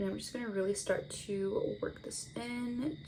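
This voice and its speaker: There is noticeable background noise in this clip. A woman speaks at a fairly slow pace. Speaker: beauty vlogger. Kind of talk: makeup tutorial. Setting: home, on camera. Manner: casual, chatty.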